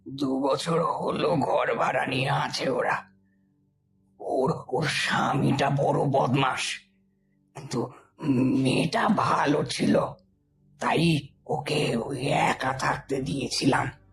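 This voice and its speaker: A man's put-on character voice, raspy and fairly high-pitched, delivered at a fairly slow pace. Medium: audio drama.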